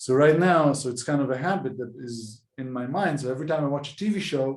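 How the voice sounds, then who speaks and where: The speaker has an Israeli accent and a fairly quick pace. Pitch varies in an ordinary way. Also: man, fairly high pitch for a man. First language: Hebrew. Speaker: podcast host. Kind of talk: casual chat.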